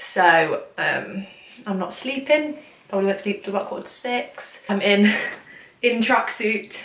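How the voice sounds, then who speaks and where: A woman with an English accent, long and frequent pauses, audible room echo and noticeable background noise. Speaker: vlogger. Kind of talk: casual vlog talk. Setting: at home late at night. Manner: quiet; fast.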